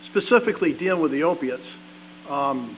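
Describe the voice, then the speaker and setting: A moderate pace and ordinary pitch variation with an American accent, over noticeable background noise. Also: man. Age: 60s. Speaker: ordained minister, recovering addict giving testimony. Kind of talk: testimony at a public meeting. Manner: halting, with fillers and repeats.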